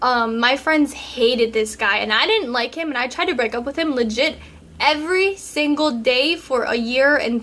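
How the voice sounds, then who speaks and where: Her voice is high-pitched, with a bright, sharp tone. The woman's pitch varies in an ordinary way. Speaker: relationship advice vlogger. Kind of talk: casual Q&A vlog. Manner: casual, many fillers.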